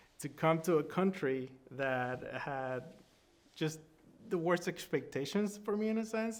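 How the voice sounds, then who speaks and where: Speaking with a Spanish accent, a man keeps a fairly slow pace. His voice is fairly high-pitched. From Sonora, Mexico. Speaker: film director. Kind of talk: interview answer.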